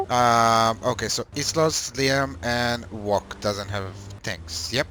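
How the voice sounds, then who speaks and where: A man with a non-native accent speaks at a very slow pace in a bright, sharp tone. His pitch is medium with ordinary variation. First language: not English. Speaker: gaming clan trainer. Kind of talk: game training session. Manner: halting.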